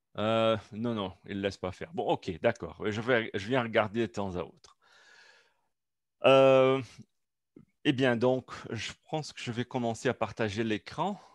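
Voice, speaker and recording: With a non-native accent, a man of medium pitch speaks at a very slow pace with long, frequent pauses and big swings in loudness, in a dry, close sound with no echo against a quiet background. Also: ordinary pitch variation. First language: not French (speaking French). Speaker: researcher presenting at a seminar. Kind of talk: academic seminar talk. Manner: halting, many hesitations.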